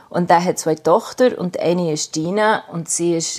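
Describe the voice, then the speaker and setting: A woman's very deep, low pitch with ordinary pitch variation. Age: 50s. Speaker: artist. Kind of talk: interview. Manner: halting.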